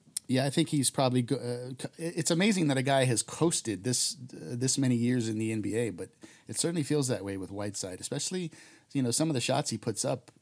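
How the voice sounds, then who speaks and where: A man talks at a fairly quick pace with lively intonation, medium pitch and an unremarkable speaking voice. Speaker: former journalist and Blazers commentator. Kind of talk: casual sports podcast chat.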